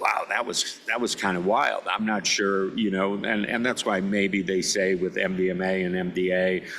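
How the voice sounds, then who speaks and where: A man with a very deep, low pitch speaks at a moderate pace with monotone, flat intonation, very even loudness, and hardly any pauses. Noticeable background noise is present. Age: 60s. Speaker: podcast host. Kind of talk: casual interview conversation. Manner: halting, many fillers.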